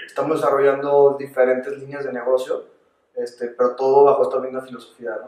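A man's monotone, flat delivery at a very fast pace. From Mexico, León (Guanajuato). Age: 20s. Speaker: agtech entrepreneur. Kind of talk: interview.

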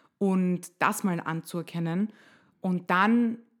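Fairly even intonation marks a plain, everyday voice on a very clean recording with a silent background. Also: woman. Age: 20s. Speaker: nurse and body image activist. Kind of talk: interview. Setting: home kitchen.

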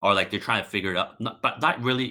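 A man with a Canadian accent at a very fast pace. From Markham, Toronto area, Canada (born in Hong Kong). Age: late 20s. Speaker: podcast guest, former English teacher. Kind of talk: casual chat.

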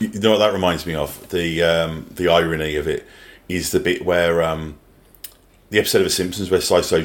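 A man with a Birmingham accent speaks at a fairly quick pace in a very deep, low pitch with monotone, flat intonation. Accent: British English, Birmingham. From English Midlands. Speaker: podcast co-host. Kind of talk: casual chat.

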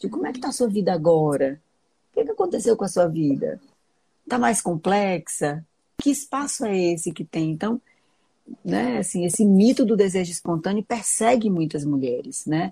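A somewhat breathy woman with a dark, mellow tone and medium pitch talks at a moderate pace, her voice making very wide pitch swings. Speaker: gynecologist. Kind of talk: casual interview conversation.

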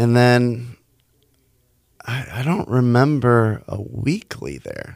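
The man has an American accent and a medium pitch. The recording is very clean, with a silent background. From Houston, Texas. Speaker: DJ and licensed therapist. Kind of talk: casual interview.

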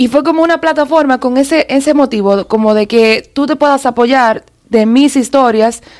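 The woman speaking uses ordinary pitch variation. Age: 30s. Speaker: media personality and content creator. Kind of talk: casual chat.

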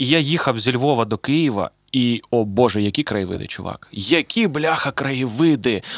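A man with an unremarkable speaking voice talks at a moderate pace in a medium pitch with ordinary pitch variation. The sound is dry and close with no echo, and the recording is very clean with a silent background. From Zaporizhzhia, Ukraine. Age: 30s. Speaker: podcast host and rapper. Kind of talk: casual chat.

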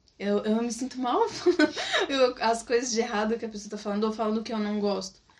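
A woman's very fast speech at a fairly high pitch, with ordinary pitch variation over noticeable background noise. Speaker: former missionary. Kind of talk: casual chat. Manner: animated.

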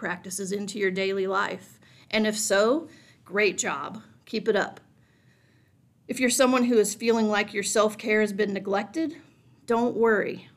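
With ordinary pitch variation, a woman talks in an unremarkable speaking voice pitched fairly high. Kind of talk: guided meditation. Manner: slow, calm, soothing, gently paced with pauses.

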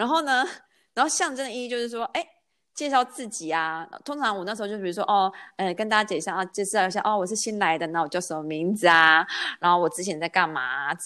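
A woman speaks at a medium pitch and a very fast pace with a bright, sharp tone. Her intonation is lively, and the recording is very clean with a silent background. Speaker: podcast host. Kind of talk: casual chat.

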